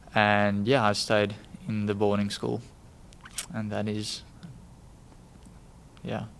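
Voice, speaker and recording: A man speaks very slowly in a fairly low voice, leaving long, frequent pauses. His intonation stays fairly even, and room echo is audible. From South Africa, Western Cape (near Cape Town). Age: 20s. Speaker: college student. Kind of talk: casual interview chat.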